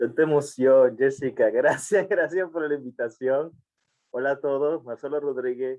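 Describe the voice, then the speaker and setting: A man speaks slowly, at a fairly slow pace, with ordinary pitch variation. His pitch is fairly high. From Puerto Rico, Caguas. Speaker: law professor and librarian. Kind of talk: casual chat. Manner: halting.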